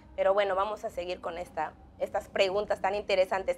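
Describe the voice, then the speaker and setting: Fairly quick speech from a woman, pitch varying in an ordinary way. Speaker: church TV interviewer. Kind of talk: religious interview. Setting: studio. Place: studio.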